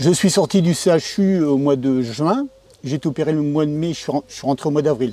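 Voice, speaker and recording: Over noticeable background noise, a man talks at a fairly quick pace with a fairly high pitch. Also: ordinary pitch variation. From northern France, Pas-de-Calais (Gueudecourt). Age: 60s. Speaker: farmer, heart transplant patient. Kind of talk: testimony interview. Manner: hesitant, many filler sounds.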